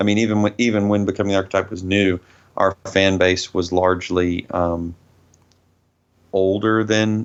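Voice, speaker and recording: Speaking in a monotone, flat way, a man with a fairly low pitch has a slight Southern US accent. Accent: mild Southern US. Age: 30s. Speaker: metal band vocalist. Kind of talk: interview.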